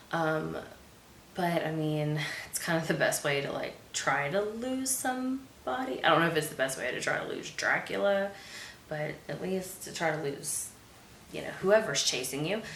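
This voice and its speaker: Very wide pitch swings at a moderate pace, with audible room echo and noticeable background noise. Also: woman, fairly low pitch for a woman. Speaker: movie review host. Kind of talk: movie review monologue. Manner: casual with many fillers.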